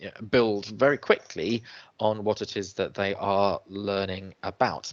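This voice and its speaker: Against a quiet background, a man speaks at a moderate pace in a fairly low voice. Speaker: webinar presenter, education trainer. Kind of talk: webinar presentation. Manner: hesitant, many fillers.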